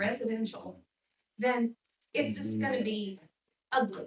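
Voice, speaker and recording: She speaks at a fairly slow pace in an American accent. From northern Indiana. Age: 60s. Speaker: resident speaking at public comment. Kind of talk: public comment at town meeting. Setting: town council meeting room.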